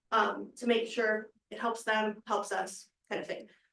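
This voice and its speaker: A woman speaks in a fairly high voice. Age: 20s. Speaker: chamber of commerce director. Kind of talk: presentation to county board. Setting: public meeting, Zoom. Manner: fast.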